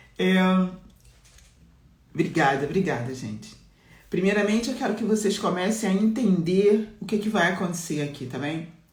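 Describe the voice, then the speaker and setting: With audible room echo, a woman at medium pitch speaks somewhat breathily at a moderate pace, her intonation lively and her pauses long and frequent. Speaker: mentor and business coach. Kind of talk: live-stream talk to followers.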